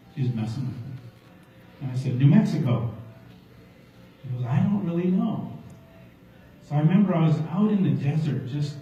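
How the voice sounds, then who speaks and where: Through audible room echo and noticeable background noise, a man with a fairly high pitch speaks at a moderate pace. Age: 60s. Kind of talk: testimony.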